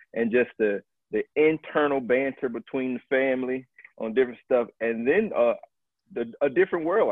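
A man with an ordinary speaking voice and an American accent, medium pitch, ordinary pitch variation, and a moderate pace. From US South, Tallahassee, Florida. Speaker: Marine Corps officer. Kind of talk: interview.

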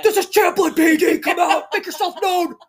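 With an extremely high pitch, a man does a put-on character voice at a moderate speed. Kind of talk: police announcement.

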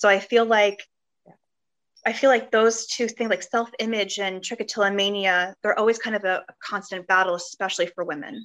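At a fairly quick pace, a woman with a normal speaking voice and medium pitch keeps her intonation fairly even. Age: 30s. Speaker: interview guest sharing experience of hair pulling disorder. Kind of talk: casual interview chat. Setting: video call.

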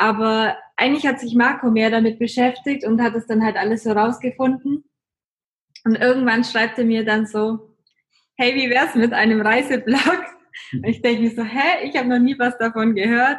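A woman's fairly high, an ordinary speaking voice, at a moderate pace with fairly even intonation. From Germany, Augsburg (Bavarian Swabia). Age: 20s. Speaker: travel blogger. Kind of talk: casual interview.

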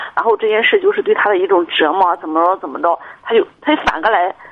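A woman is speaking. Her intonation is lively. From Shandong, China. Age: 30s. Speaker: caller. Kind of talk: advice call-in. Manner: halting.

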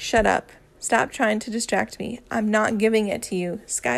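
Reading aloud, plain.

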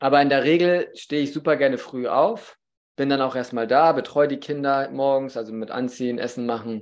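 A man speaks in a plain, everyday voice at a fairly high pitch and moderate pace, with ordinary pitch variation. The recording is very clean, with a silent background. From northern Germany, Baltic coast. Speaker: podcast host, father. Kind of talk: casual interview chat.

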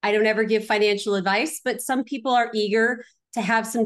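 Against a quiet background, a woman with an ordinary speaking voice keeps a fairly high pitch and fairly even intonation. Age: 40s. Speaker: real estate investor. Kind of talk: interview.

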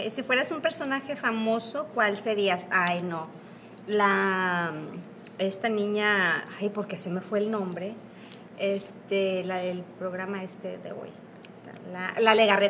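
With audible room echo, a woman speaks at a very slow pace and medium pitch. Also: ordinary pitch variation. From northern Mexico, Piedras Negras, Coahuila. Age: 40s. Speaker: former bariatric surgery patient. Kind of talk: interview.

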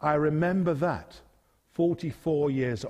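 The speaker has an English accent. The background is quiet. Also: man. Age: 50s. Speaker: preacher. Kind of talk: sermon.

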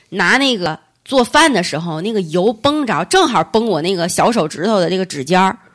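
A woman's medium-pitched, animated voice at a moderate pace, with very wide pitch swings. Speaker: podcast host. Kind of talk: casual chat. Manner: chatty, animated.

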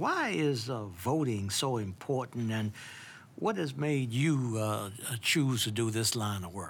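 An ordinary speaking voice from a man, medium in pitch, fairly slow, with ordinary pitch variation. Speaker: podcast host and judge. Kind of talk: interview.

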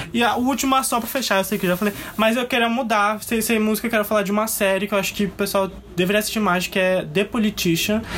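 Noticeable background noise sits behind a high-pitched man talking at a very fast pace. His intonation is fairly even and his loudness very even. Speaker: podcast co-host. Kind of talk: casual chat.

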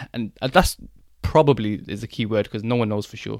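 In a very clean recording with a silent background, a man speaks at a very fast pace with a fairly low pitch, ordinary pitch variation, and vocal fry. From England, Birmingham. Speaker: optometrist. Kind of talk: casual chat.

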